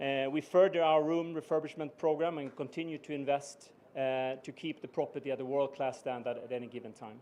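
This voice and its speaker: A man with a slight Swedish accent speaks at a fairly quick pace with hardly any pauses. His fairly high pitch keeps a fairly even intonation while his loudness swings widely. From Sweden. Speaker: business executive. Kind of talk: formal speech. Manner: halting, many fillers.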